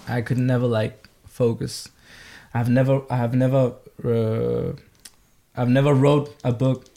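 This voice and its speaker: A man speaks at medium pitch in a monotone, flat way, fairly slow, with long, frequent pauses and very even loudness. Noticeable background noise is present. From Spain. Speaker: singer-songwriter. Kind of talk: casual chat.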